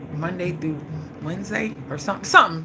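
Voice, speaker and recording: An animated woman's voice, very deep and low, with ordinary pitch variation, audible room echo and noticeable background noise. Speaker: vlogger and live-stream host. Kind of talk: casual live-stream chat. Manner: fast.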